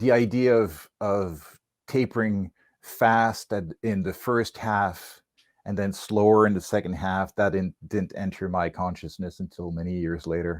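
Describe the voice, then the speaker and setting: A man with a French accent and a very deep, low pitch speaks at a fairly slow pace with fairly even intonation, recorded very cleanly against a silent background. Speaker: whip maker. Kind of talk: casual chat. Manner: halting.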